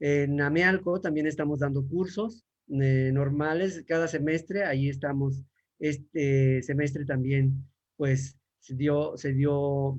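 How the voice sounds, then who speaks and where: Very slow and somewhat breathy, a man talks at a fairly high pitch. His intonation is fairly even. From Mexico. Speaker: language teacher. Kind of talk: panel talk. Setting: online livestream. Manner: halting.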